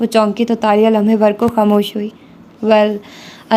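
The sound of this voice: This is an unforced reading voice. It is delivered throughout.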